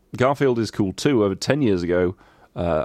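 Someone reads aloud in a natural voice, the intonation rising and falling in a lively way.

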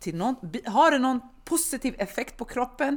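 A woman's voice swings very widely in pitch, her delivery animated. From Sweden. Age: 30s. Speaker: personal trainer. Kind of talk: casual chat. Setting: studio.

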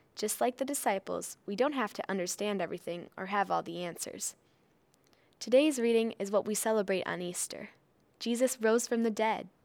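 An ordinary speaking voice from a woman at medium pitch, with ordinary pitch variation, a moderate pace, and a very clean recording with a silent background. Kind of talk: kids' devotional introduction and questions. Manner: warm, simple and encouraging.

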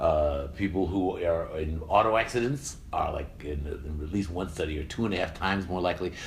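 Somewhat breathy speech in an American accent, at a fairly quick pace with hardly any pauses, amid audible room echo. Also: man, very deep, low pitch for a man, ordinary pitch variation. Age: 60s. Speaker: science communicator and podcast host. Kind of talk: casual intellectual discussion. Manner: halting.

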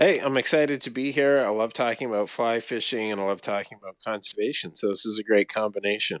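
A man with a western Canadian accent talks at a very fast pace, with hardly any pauses, at a medium pitch and with ordinary pitch variation. The sound is dry and close with no echo. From Canada, British Columbia (Vancouver, Fraser Valley). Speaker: conservation organization CEO. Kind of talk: interview. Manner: halting, many fillers.

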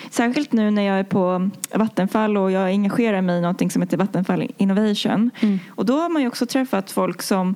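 A woman keeps a moderate pace and a medium pitch, her pitch varying in an ordinary way. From Sweden, Stockholm. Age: 20s. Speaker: engineer. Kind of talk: interview. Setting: studio. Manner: halting.

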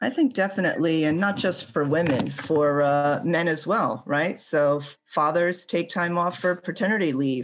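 Using a normal speaking voice, a woman keeps a moderate pace with very even loudness, hardly any pauses and ordinary pitch variation. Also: fairly low pitch for a woman. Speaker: mechanical engineer. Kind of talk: interview.

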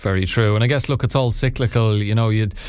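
A man with an Irish accent talks at a medium pitch and a very fast pace. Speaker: radio host. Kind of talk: radio interview. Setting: studio.

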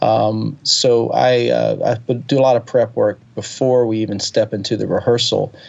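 A man talks with an American accent at a moderate pace. He leaves hardly any pauses. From US South, Alabama (Birmingham area). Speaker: touring keyboard player and singer-songwriter. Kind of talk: interview conversation. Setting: phone call. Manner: hesitant, many fillers.

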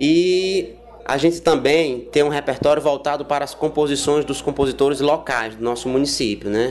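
A man's fairly high voice at a moderate pace, with ordinary pitch variation and noticeable background noise. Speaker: orchestra conductor. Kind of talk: interview. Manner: hesitant with filler words.

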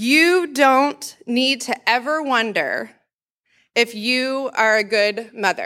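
Against a silent background on a very clean recording, a woman speaks very slowly in a high-pitched, raised, projected voice with ordinary pitch variation. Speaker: nurse practitioner. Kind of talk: sermon. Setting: church.

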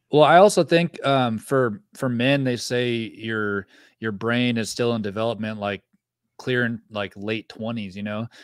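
This man talks at a fairly slow pace with an American accent and medium pitch, with ordinary pitch variation, in an unremarkable speaking voice. The sound is dry and close, with no echo. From Northern California, rural. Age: 30s. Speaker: mountain bike YouTuber. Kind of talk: casual chat. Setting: video call.

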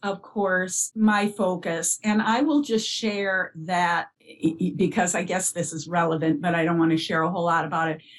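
With an American accent, a woman talks at medium pitch in a plain, everyday voice. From US Upper Midwest (northern Minnesota). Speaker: bereaved parent and early childhood educator. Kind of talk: interview about grief.

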